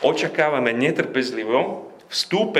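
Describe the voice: With ordinary pitch variation, the speaker is doing plain reading aloud.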